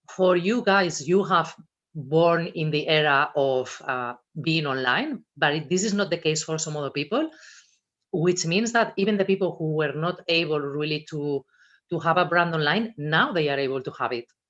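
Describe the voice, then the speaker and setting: With a Spanish accent, the speaker keeps a moderate pace. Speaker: personal branding and social media speaker. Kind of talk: talk to students at a virtual careers fair. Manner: expressive.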